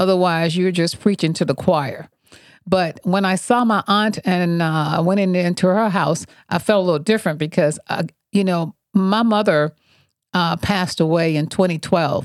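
This woman talks at a moderate pace with an American accent. Her pitch is fairly low, with ordinary variation. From US South, Montgomery, Alabama. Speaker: nutrition wellness coach, podcast co-host. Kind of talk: casual chat.

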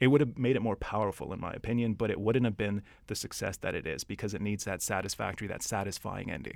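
A man with a Canadian accent, fairly low-pitched, at a very fast pace with hardly any pauses, ordinary pitch variation, on a very clean recording with a silent background. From Edmonton, Canada. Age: 30s. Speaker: insurance worker, film fan guest. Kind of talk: casual chat.

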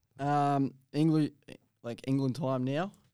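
A man with an Australian accent, a fairly high pitch and a dark, mellow tone, at a fairly slow pace. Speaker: podcast host. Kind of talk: casual chat. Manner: casual, swears.

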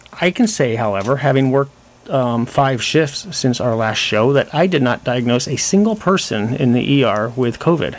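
Over noticeable background noise, a man at medium pitch talks at a moderate pace with lively intonation and very even loudness. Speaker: doctor guest on radio show. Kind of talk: live radio talk show answering callers. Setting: studio.

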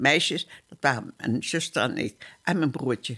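A woman's lively intonation at a fairly slow pace. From Dutch East Indies, Surabaya (Java). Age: 80s+. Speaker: war survivor. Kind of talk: testimony. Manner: halting.

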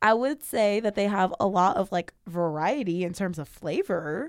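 With an American accent and a plain, everyday voice, a woman of medium pitch speaks at a fairly slow pace in a very clean recording with a silent background and a dry, close sound with no echo. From Northern California, Sacramento. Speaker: student podcast host. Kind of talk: casual chat.

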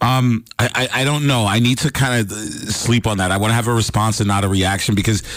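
Noticeable noise runs behind a man speaking at a moderate pace. His voice is fairly low, with ordinary pitch variation. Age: 50s. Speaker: sports analyst. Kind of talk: casual chat. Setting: studio.

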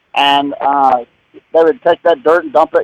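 A man with a Southern US accent at a moderate pace, dry and close with no echo. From Mooresville, North Carolina. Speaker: radio show caller. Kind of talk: call-in question. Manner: halting.

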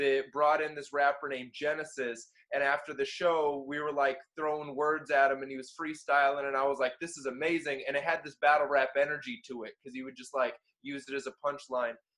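At a fairly quick pace, a man talks in an American accent with a bright, sharp tone. His loudness swings widely. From Florida (Orlando). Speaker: battle rapper and freestyler. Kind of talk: casual interview chat.

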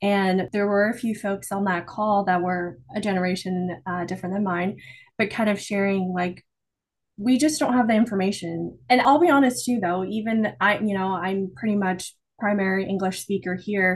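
Against a quiet background, a woman talks at a moderate pace with ordinary pitch variation in an unremarkable speaking voice. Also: medium pitch for a woman. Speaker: podcast co-host. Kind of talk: casual interview chat.

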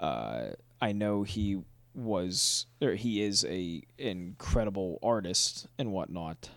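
Against a silent background in a very clean recording, a man speaks very slowly at a fairly low pitch with ordinary pitch variation. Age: 20s. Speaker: podcast host. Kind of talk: casual chat.

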